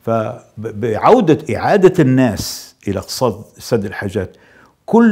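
A man speaks with a dark, mellow tone against a quiet background. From Libya. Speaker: politician. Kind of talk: interview. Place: studio. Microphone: lapel.

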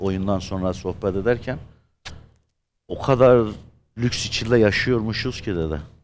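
Over light background noise, a man with a Gaziantep accent speaks at a fairly slow pace, his fairly low pitch showing ordinary variation. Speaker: actor. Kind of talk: casual chat. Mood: earnest, serious topic. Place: studio.

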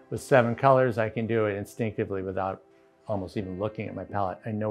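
With faint music in the background, a man speaks very fast in a fairly low, monotone, flat voice. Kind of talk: interview answer. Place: home room.

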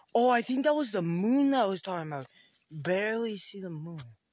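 With lively intonation and a moderate pace, a man speaks over a quiet background in a dry sound with no echo. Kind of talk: casual vlog chat. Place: forest. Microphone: phone near.

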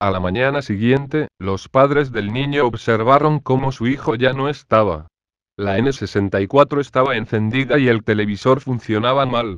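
A man speaks fairly slowly in a medium pitch, using a normal speaking voice. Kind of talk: ghost story telling (creepypasta narration). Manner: flat, matter-of-fact storyteller's delivery.

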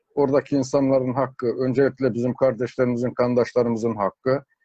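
There's a quiet background behind a man. The sound is dry, with no echo. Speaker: interview guest. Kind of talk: interview answer. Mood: earnest, hopeful. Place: home room. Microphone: video call.

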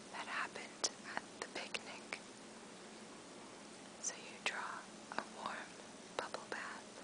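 Soft-spoken and calm, the speaker whispers at a very slow pace. Background noise is noticeable. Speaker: sleep story narrator. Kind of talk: guided relaxation story, soft spoken. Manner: soft, calm relaxation whisper.

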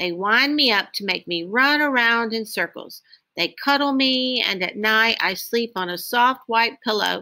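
A natural reading voice with lively intonation sits over a quiet background.

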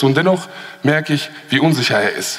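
An animated man at a fairly high pitch, with ordinary pitch variation. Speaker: poetry slam performer. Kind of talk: poetry slam performance, rhythmic spoken-word text delivered to a live audience. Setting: stage with audience. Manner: animated, ironic and sarcastic, punchy, with repeated refrain; fast-paced, rushed by time limit. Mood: ironic, pointed, rhythmic. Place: hall.

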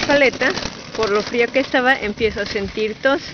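A woman at a fairly quick pace with ordinary pitch variation, in dry sound with no echo and noticeable background noise. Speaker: vlogger. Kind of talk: casual vlog chat. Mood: cheerful, chatty. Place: garden. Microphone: phone near.

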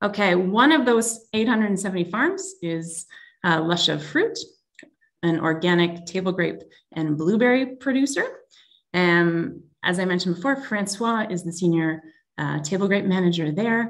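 A woman with a Canadian accent and lively intonation, at a fairly slow pace against a quiet background. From Canada. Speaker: tech company executive; presenter. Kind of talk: webinar presentation. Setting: video call. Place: home room. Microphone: video call.

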